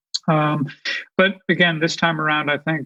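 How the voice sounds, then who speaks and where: Against a quiet background, a man with a fairly high pitch speaks at a moderate pace in a monotone, flat intonation. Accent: American. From Boston area, Massachusetts. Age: 60s. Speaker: author and team consultant. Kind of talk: interview. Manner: halting, many fillers.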